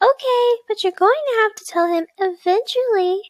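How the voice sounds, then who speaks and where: A woman speaks in a put-on character voice, squeaky and extremely high-pitched. Her pace is moderate, with ordinary pitch variation. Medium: read story. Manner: cheerful, encouraging.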